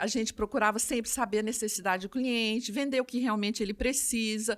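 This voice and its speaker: Speaking at a fairly quick pace, a woman with a fairly high voice is heard in a very clean recording with a silent background. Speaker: optical store owner. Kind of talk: podcast interview. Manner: fast; animated.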